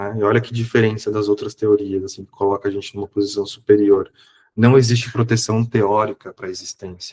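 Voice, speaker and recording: In a dry, close sound with no echo, a man with a fairly low, somewhat breathy voice talks at a fairly quick pace in a monotone, flat way, his loudness swinging widely. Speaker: psychologist and professor giving a seminar. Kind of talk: online lecture. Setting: online seminar. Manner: casual, conversational.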